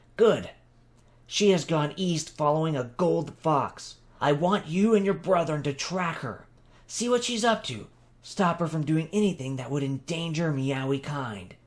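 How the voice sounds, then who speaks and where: A man puts on a character voice, pitched fairly high. He keeps a moderate pace. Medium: read story. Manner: measured, authoritative.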